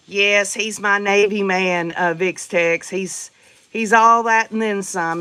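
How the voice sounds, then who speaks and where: A woman with a Southern US accent speaks at a fairly slow pace, her tone bright and sharp and her intonation fairly even. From US South, Tennessee. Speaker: livestream host. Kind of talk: casual chat. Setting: livestream. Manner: chatty, folksy.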